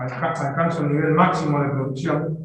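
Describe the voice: Fairly even intonation with strong room echo. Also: man.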